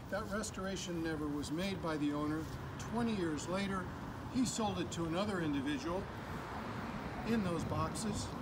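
Loud background noise surrounds a man speaking at a moderate pace. He takes long, frequent pauses and shows ordinary pitch variation. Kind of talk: walkaround commentary. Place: garden. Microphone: camera far.

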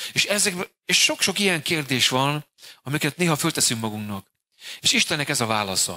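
Long, frequent pauses break up a man's fairly quick delivery, his fairly high voice bright and sharp in tone and swinging very widely in pitch. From Hungary. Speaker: pastor. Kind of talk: sermon. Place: church. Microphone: handheld.

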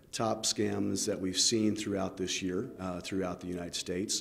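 A man speaks at a moderate pace with vocal fry. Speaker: business bureau chief executive. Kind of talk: interview answer. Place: office.

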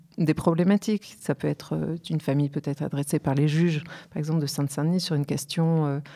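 A woman's very deep, low voice at a moderate pace, with fairly even intonation and a quiet background. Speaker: guest. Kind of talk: interview answer. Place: studio. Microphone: studio mic.

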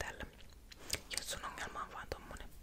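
Whispering, a woman speaks at a moderate pace. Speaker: ASMR creator / vlogger. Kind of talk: casual talk to camera. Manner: chatty, casual. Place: home room. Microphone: studio mic.

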